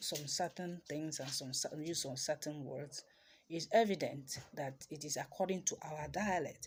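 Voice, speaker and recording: A woman's somewhat breathy, very deep, low voice with a Nigerian accent, fairly slow pace and ordinary pitch variation. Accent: Nigerian Igbo English. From Nigeria, Igbo, Awka in Anambra State. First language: Igbo. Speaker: traditional healer and spiritual teacher. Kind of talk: teaching talk.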